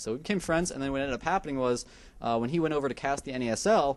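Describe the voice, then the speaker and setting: Here a man talks at a very fast pace. His pitch variation is ordinary. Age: 20s. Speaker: esports commentator. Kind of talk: interview. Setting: live event.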